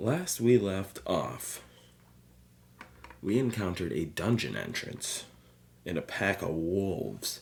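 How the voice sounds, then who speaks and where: A man talks with a fairly low pitch. His intonation is lively. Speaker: tabletop RPG player. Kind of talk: casual solo actual play commentary. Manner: casual, excitable.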